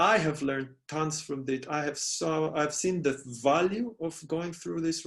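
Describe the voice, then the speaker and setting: A man with an Israeli accent speaks at a fairly high pitch with ordinary pitch variation. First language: Hebrew. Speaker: life coach and musician. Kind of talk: casual interview chat. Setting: call.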